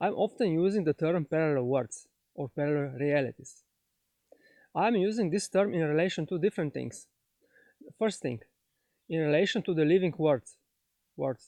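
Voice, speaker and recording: A dark, mellow tone in a Slovenian accent, moderate pace, lively intonation and long, frequent pauses. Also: man, fairly high pitch for a man, dry, close sound with no echo, quiet background. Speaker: spiritual teacher. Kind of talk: lecture. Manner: halting, many fillers.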